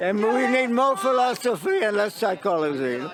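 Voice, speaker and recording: Noticeable background noise behind lively intonation and a moderate pace. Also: man. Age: 90s. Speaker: protester. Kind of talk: street interview. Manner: halting.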